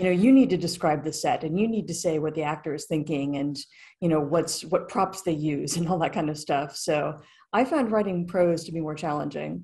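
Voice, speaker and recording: Against a quiet background, a woman with a fairly low pitch and a dark, mellow, somewhat breathy tone talks at a fairly quick pace with ordinary pitch variation. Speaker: guest. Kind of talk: interview answer. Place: home room. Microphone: video call.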